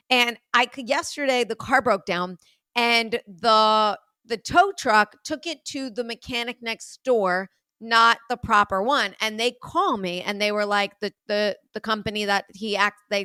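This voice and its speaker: A woman in a New York accent speaks with a fairly high pitch, a bright, sharp tone, ordinary pitch variation and big swings in loudness, the sound dry and close with no echo in a very clean recording with a silent background. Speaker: podcast host. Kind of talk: casual chat. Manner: blunt, forceful delivery.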